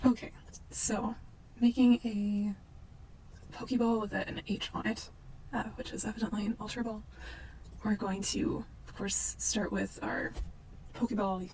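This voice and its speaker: A woman with a fairly high pitch and fairly even intonation, with long, frequent pauses and noticeable background noise. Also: fairly slow pace. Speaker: 3D modeling tutor. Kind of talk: unscripted software tutorial narration. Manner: slow, casual.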